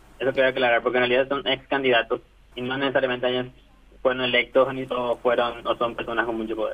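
The delivery is very fast and monotone, with flat intonation over noticeable background noise. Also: man, medium pitch for a man. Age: 20s. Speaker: data analyst interviewee. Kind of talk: interview.

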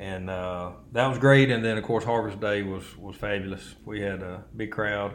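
Fairly even intonation in an American accent at a moderate pace, with big swings in loudness and audible room echo. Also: man, fairly low pitch for a man. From US South (Alabama, Wiregrass). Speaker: podcast co-host. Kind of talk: casual chat. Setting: studio.

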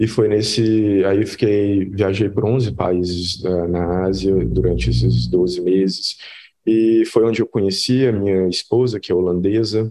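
A man speaks at a fairly slow pace with a fairly low pitch. His tone is dark and mellow, and his intonation is lively. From Brazil, Minas Gerais (Belo Horizonte). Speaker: head of design, UX designer. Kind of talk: casual interview chat.

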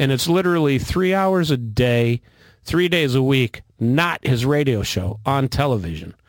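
A man with an unremarkable speaking voice of medium pitch, lively intonation, a fairly slow pace and very even loudness, recorded dry and close with no echo. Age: 50s. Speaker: military veteran and political commentator. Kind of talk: casual chat. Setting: studio.

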